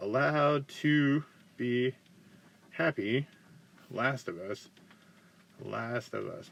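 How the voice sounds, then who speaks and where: In an American accent, a man with a medium pitch speaks in an animated tone. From US South, South Carolina. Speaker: guitar teacher and musician. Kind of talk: livestream Q&A chat. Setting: home livestream on camera. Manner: halting, repeats words; casual, animated.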